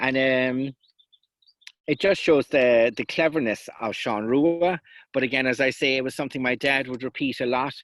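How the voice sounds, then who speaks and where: On a very clean recording with a silent background and a dry, close sound with no echo, a man with a Kerry accent talks at moderate pace and medium pitch with fairly even intonation. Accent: Kerry Irish. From South West Kerry, Ireland. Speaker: traditional storyteller. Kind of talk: folklore lecture with storytelling. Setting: outdoors.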